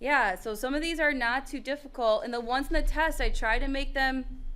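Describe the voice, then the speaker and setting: Speaking at a moderate pace, a woman with a high voice uses lively intonation, and audible room echo surrounds her. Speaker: math teacher. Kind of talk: classroom lecture. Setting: classroom with students.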